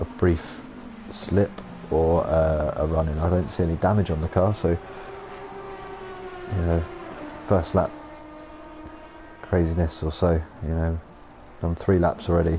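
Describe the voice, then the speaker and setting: A man talks at a fairly slow pace with long, frequent pauses over noticeable background noise. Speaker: sim racing commentator. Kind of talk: live commentary. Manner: monotone.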